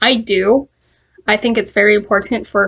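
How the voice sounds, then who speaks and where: Her intonation is fairly even. The woman's voice has vocal fry. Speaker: education student. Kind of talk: class assignment video reflection. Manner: halting.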